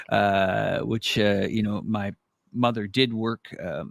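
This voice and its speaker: A man with a Canadian accent speaks in a normal speaking voice at a medium pitch with ordinary pitch variation, in a very clean, silent recording with a dry, close sound and no echo. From Canada. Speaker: live stream host. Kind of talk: live stream commentary. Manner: rambling with frequent fillers and self-corrections.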